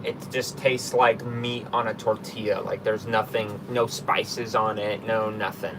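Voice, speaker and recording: A man at a moderate pace, monotone and flat, with hardly any pauses, over noticeable background noise. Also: medium pitch for a man. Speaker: travel vlogger. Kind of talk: casual chat. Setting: live stream.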